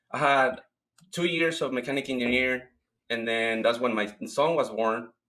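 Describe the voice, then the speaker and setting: A man with a Mexican accent at a fairly quick pace, medium in pitch for a man, with ordinary pitch variation. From Mexico. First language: Spanish. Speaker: cleaning business owner. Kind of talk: interview.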